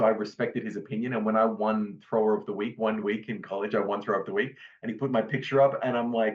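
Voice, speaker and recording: A man in an Australian accent talks at a very fast pace with hardly any pauses. His intonation is monotone and flat. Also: medium pitch for a man. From Australia, Brisbane, Queensland. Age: 30s. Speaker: retired discus thrower. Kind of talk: podcast interview.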